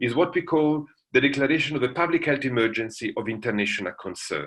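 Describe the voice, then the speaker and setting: Bright and sharp in tone, a man with an Italian accent speaks at a fairly high pitch with lively intonation. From Italy. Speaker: international law professor. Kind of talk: lecture.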